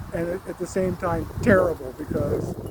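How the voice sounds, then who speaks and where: Noticeable background noise runs under a man speaking at a fairly slow pace with ordinary pitch variation. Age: old. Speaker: long distance motorcycle rider. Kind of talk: casual talk to camera. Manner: reflective, rambling.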